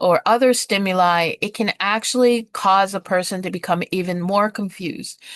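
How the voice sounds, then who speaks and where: Over a quiet background, a woman uses an ordinary speaking voice at medium pitch and moderate pace, her intonation fairly even and the sound dry and close with no echo. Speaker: nursing assistant instructor. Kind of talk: lecture. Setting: video call. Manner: many filler words.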